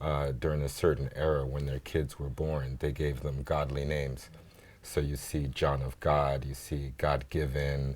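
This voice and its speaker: With an American accent, a man speaks at a very deep, low pitch. His pace is fairly slow and his intonation monotone and flat. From grew up in Africa, American schools, half American half Congolese. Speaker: filmmaker. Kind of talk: TV interview. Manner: conversational with fillers.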